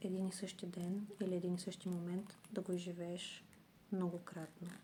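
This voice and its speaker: A soft-spoken woman's somewhat breathy whispering at a very slow pace. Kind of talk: ASMR this-or-that game, whispered then soft-spoken. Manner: whispered, soft-spoken.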